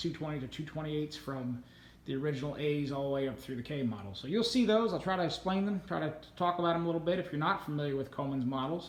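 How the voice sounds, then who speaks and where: A man with a fairly high pitch and ordinary pitch variation speaks amid audible room echo. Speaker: lantern collector, video host. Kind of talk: casual show-and-tell tour. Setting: home man cave room. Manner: fast.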